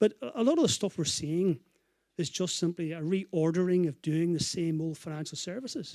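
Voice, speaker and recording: The voice has a dark, mellow tone. The sound is dry and close with no echo, in a very clean recording with a silent background. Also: man. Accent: Northern Irish. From Northern Ireland. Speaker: consumer finance advocate, panelist. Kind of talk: panel discussion.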